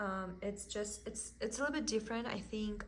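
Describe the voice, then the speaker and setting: A woman speaks at a fairly quick pace in a strong Russian accent, her voice somewhat breathy. Audible room echo surrounds her. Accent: thick Russian. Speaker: cross stitch content creator. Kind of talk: casual haul video chat.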